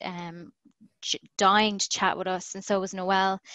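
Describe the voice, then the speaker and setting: A woman with an Irish accent speaks at a moderate pace and medium pitch. The sound is dry and close with no echo, and the background is quiet. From Ireland, Galway. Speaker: professional wrestler. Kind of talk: casual interview chat. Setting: video call.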